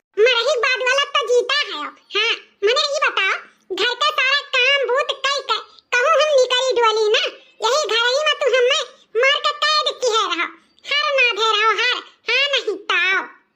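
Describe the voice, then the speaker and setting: In a squeaky, cartoonish character voice, a woman speaks at an extremely high pitch and a moderate pace with very even loudness. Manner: loud, scolding.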